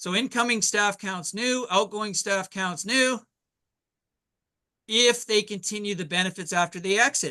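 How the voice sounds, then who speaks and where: A man's high, raised, projected voice, bright and sharp in tone, at a fairly slow pace with long, frequent pauses, ordinary pitch variation and a quiet background. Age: 60s. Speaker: insurance and financial sales leader. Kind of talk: business training presentation. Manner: animated.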